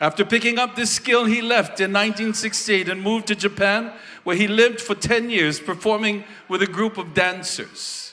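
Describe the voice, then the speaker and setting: Using a raised, projected voice, a man speaks at high pitch with fairly even intonation. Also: moderate pace. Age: 60s. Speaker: festival presenter giving a tribute. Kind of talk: stage tribute speech.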